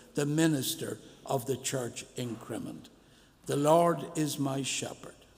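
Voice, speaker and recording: A man with a Dublin accent and a fairly high pitch, fairly even intonation and a fairly slow pace, with audible room echo and noticeable background noise. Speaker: minister. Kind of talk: church service address. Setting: church.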